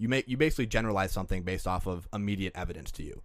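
Very fast and with an American accent, a man speaks at a fairly low pitch with ordinary pitch variation, on a very clean recording with a silent background. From Green Bay, Wisconsin. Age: 20s. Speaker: podcast intern producer. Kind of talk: casual chat. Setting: studio.

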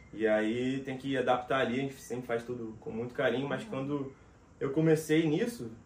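There is audible room echo around a man speaking in a fairly high pitch. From Rio de Janeiro, Brazil. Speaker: voice actor and dubbing director. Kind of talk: casual interview chat.

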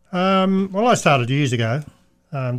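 In a very clean recording with a silent background, a man talks at a moderate pace in an Australian accent, his pitch varying in an ordinary way. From Australia (Perth). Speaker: race car owner. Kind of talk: casual chat. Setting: studio.

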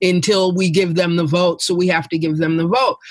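A woman with an American accent talks at a moderate pace. She has an ordinary speaking voice at medium pitch. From New York City. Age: 50s. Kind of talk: casual chat.

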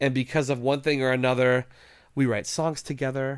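A man with an American accent talks at a fairly quick pace in a plain, everyday voice of medium pitch. The recording is very clean, the background silent. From West Virginia. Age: 30s. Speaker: musician. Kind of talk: casual chat.

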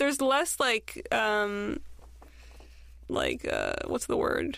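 A woman with an American accent talks very slowly. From Southern California. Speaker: podcaster and filmmaker. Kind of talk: casual chat.

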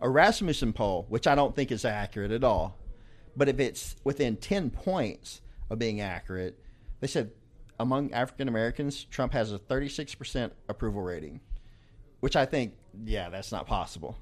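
At a moderate pace, the voice moves with lively intonation. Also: man, medium pitch for a man. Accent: Southern US. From Arkansas. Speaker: podcast guest, coworker of host. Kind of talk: casual political chat. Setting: live podcast in a cigar lounge.

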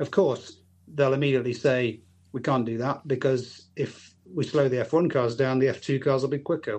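The speaker has a normal speaking voice. Intonation stays fairly even. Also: man. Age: 50s. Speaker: racer and author. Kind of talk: casual interview chat.

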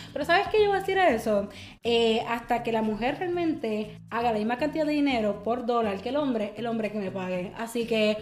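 A woman speaks at a fairly quick pace with a fairly high pitch and lively intonation. Audible room echo surrounds her voice. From Puerto Rico. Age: 20s. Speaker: publicist. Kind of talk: casual chat.

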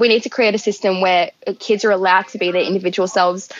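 Speaking very fast, a woman in an Australian accent keeps her intonation flat and monotone. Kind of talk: interview.

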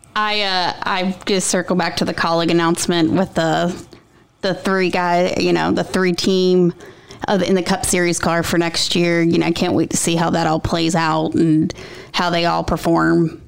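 Against noticeable background noise, a woman with a fairly low pitch speaks at a moderate pace with very even loudness and a monotone, flat intonation. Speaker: podcast co-host. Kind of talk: casual chat.

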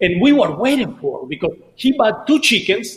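The voice carries a Spanish accent. The pace is fairly slow. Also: man. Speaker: DJ and Spanish-language show host. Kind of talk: casual chat. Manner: animated.

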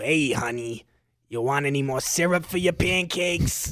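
A man puts on a raspy character voice at a fairly high pitch. He speaks at a moderate pace. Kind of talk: casual, diner talk.

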